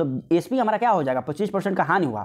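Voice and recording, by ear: The man talks extremely quickly.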